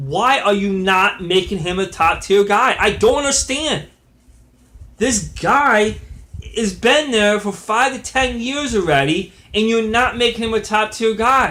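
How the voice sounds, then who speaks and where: A man raises and projects his high-pitched voice. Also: ordinary pitch variation. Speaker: wrestling commentator vlogger. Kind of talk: casual commentary monologue. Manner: halting, many fillers and restarts.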